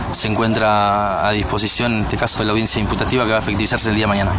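A man is speaking. Noticeable background noise runs beneath him. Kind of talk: interview answer. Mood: serious, formal. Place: street. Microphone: handheld.

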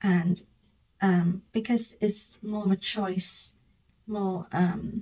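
Over a quiet background, a woman talks very slowly in a flat monotone, her dark, mellow voice somewhat breathy. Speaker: vlogger. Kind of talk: casual vlog chat. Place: home room. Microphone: phone near.

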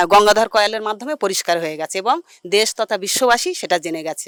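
Here a woman has a normal speaking voice with a fairly high pitch and ordinary pitch variation. The sound is dry and close, with no echo. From Sandeshkhali, West Bengal. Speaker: local resident. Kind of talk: street interview.

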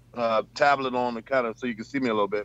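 A man at a fairly quick pace, fairly even intonation, dry sound with no echo. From Bronx, New York; New York. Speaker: truck driver; panelist. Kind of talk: casual chat. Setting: video call from his truck. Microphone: video call.

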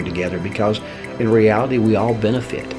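Over clear background music, a man talks at a moderate pace in a fairly low pitch. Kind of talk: interview answer. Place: office.

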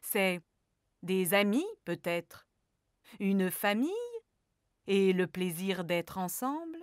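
A woman at a fairly slow pace with very wide pitch swings, in a dry, close sound with no echo on a very clean recording with a silent background. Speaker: storyteller. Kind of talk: children's story narration, gentle and warm; children's story narration. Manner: animated, soft, storyteller pace with suspenseful slowing; addresses child listener warmly.

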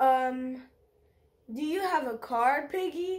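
A woman's put-on character voice, high in pitch and very slow in pace. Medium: read story. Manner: fretful, earnest.

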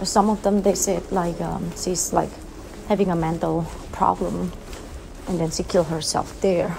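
There is noticeable background noise while a woman talks at a moderate pace. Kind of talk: casual vlog chat. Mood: hushed, slightly spooked storytelling. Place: hall. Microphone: phone near.

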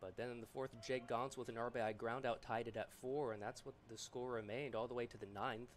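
Talking at a fairly quick pace with hardly any pauses, a man uses an unremarkable speaking voice at medium pitch. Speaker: play-by-play announcer. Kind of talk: live play-by-play baseball commentary. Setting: stadium broadcast booth. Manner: brisk, upbeat, rhythmic pitch-by-pitch calls.

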